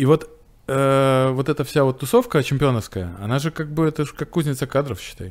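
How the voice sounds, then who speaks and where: A man with a normal speaking voice talks at a fairly quick pace, fairly high in pitch and with ordinary pitch variation. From Russia, Novgorod region. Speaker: veterinary cardiologist and surgeon. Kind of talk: casual interview.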